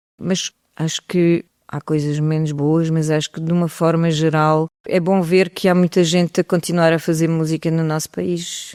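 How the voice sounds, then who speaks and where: On a very clean recording with a silent background and a dry, close sound with no echo, a woman speaks at a fairly low pitch with a dark, mellow tone, a moderate pace and monotone, flat intonation. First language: French (speaking Portuguese). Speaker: singer. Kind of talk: interview.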